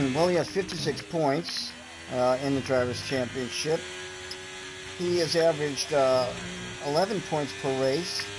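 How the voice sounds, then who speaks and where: Lively intonation is broken up by long, frequent pauses. Music plays in the background. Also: man, fairly high pitch for a man, moderate pace. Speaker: sim racing league commentator. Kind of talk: live commentary. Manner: loud.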